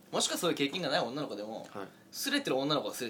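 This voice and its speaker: Over noticeable background noise, a man rattles along at a very fast pace, his fairly high voice full of lively intonation. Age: 20s. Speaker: internet radio host. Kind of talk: casual chat.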